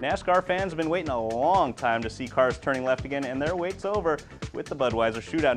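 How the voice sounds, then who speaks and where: Music plays in the background as a man talks at a fairly quick pace. His tone is upbeat and energetic, with lively intonation. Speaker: sports reporter and anchor. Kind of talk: TV sports anchor segment, trivia and race recap. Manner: upbeat, energetic.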